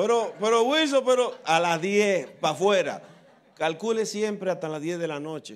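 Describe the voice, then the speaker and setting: Here a man talks at a moderate pace in a high pitch. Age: old. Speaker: pastor. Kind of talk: tribute speech with humour. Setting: church. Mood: warm, nostalgic, joking. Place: church. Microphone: handheld.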